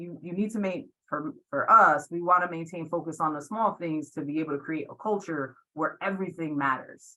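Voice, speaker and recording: Her voice fairly low and bright, sharp in tone, a woman speaks at a moderate pace with ordinary pitch variation and big swings in loudness. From Puerto Rico. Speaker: athletic director. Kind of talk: webinar panel discussion.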